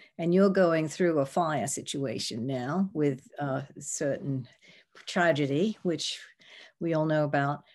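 Someone speaks at a very slow pace with an American accent and ordinary pitch variation. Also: woman, very deep, low pitch for a woman. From US. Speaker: architect.

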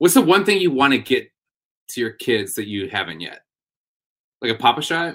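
Vocal fry, very wide pitch swings and big swings in loudness mark this American-accented voice, which moves at a moderate pace with long, frequent pauses in a very clean recording with a silent background. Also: man, medium pitch for a man. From Wisconsin. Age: 30s. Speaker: comedian and show producer. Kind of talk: casual chat.

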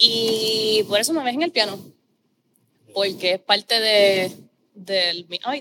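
At a fairly slow pace with long, frequent pauses, a woman speaks in a bright, sharp tone at a fairly high pitch with ordinary pitch variation, in a dry, close sound with no echo. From Puerto Rico, Corozal. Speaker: opera singer. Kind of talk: casual interview chat.

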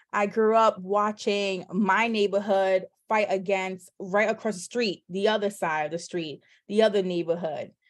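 Speaking with a New York accent, a woman at a medium pitch keeps a moderate pace and fairly even intonation on a very clean recording with a silent background. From New York, the Bronx. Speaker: loan signing agent and entrepreneur. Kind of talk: casual interview.

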